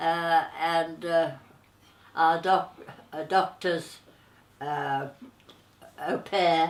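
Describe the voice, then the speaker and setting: A woman with a fairly low pitch speaks at a very slow pace, leaving long, frequent pauses. Her intonation is monotone and flat. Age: 80s+. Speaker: elderly interviewee recounting memories. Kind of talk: oral history interview. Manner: halting, many hesitations.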